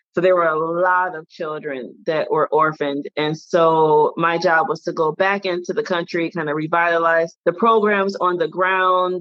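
Speaking at a moderate pace with an American accent, a woman has a normal speaking voice at a fairly low pitch. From Detroit, Michigan, US. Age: 40s. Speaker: anthropologist and author coach. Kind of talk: casual interview chat.

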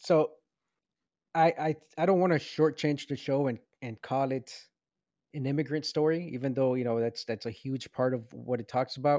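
A dark, mellow tone at a moderate pace with ordinary pitch variation and long, frequent pauses, in a very clean, dry, close recording with no echo and a silent background. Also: man, fairly high pitch for a man. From United States, moved from Venezuela at six. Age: 30s. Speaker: podcast co-host. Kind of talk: casual chat.

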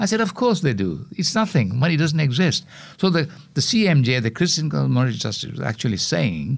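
The voice moves at a fairly quick pace with vocal fry and very wide pitch swings. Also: man. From Sri Lanka. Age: 80s+. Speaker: environmental activist. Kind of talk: interview. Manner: halting, many repeated words.

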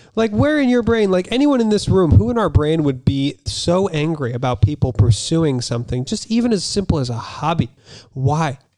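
The speaker has an American accent, very wide pitch swings and a moderate pace. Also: man, fairly high pitch for a man. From US, Utah. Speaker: comedian. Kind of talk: casual chat.

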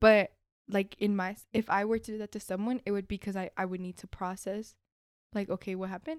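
A woman's plain, everyday voice at medium pitch, fairly quick and fairly even in intonation, with big swings in loudness, in a very clean recording with a silent background and a dry, close sound with no echo. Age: 20s. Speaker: podcast guest, college student. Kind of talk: casual chat. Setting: studio.

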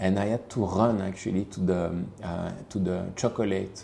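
A man with a Belgian French accent and a very deep, low pitch. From Belgium, Liège. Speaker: perfume creative director. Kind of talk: interview. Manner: hesitant, many fillers.

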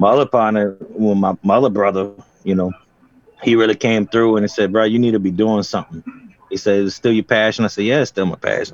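This is a man with an ordinary speaking voice. He talks at a fairly quick pace with fairly even intonation. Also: fairly low pitch for a man. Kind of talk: casual chat. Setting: home studio.

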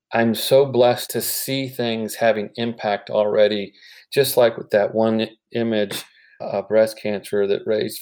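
A man with a dark, mellow tone speaks at a fairly slow pace in a flat monotone at medium pitch, on a very clean recording with a silent background. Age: 50s. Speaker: healthcare entrepreneur, founder of a cancer art company. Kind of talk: interview.

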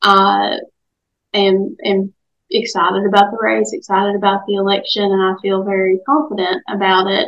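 The speaker is a woman with a medium pitch. She keeps her intonation fairly even. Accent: Appalachian. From Southwest Virginia, Dickenson County. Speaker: lawyer and political candidate. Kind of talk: radio interview.

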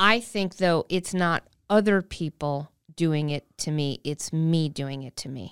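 A woman's fairly low, fairly slow voice with an Upper Midwest accent and big swings in loudness, dry and close with no echo, on a very clean recording with a silent background. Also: ordinary pitch variation. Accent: Upper Midwest American. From Wisconsin. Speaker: comedian and cartoonist. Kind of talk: casual chat.

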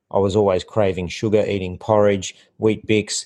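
Fairly low-pitched man with an Australian accent, monotone, flat intonation and a moderate pace, against a quiet background. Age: 50s. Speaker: health and fitness coach. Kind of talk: casual interview. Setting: in person at host's home.

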